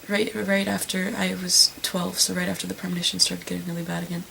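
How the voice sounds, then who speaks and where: Someone soft-spoken talks at a fairly quick pace over noticeable background noise. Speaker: vlogger. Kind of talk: personal testimony. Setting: at home at night. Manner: halting.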